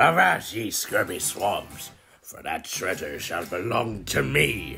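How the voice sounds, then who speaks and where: A man speaks in a put-on character voice with a very deep, low pitch. His pace is fairly slow. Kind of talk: archaic pirate speech. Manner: gruff, swashbuckling.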